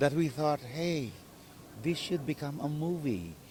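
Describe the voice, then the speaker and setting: A man's fairly high voice with a dark, mellow tone and lively intonation. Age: 70s. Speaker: actor and director. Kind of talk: interview.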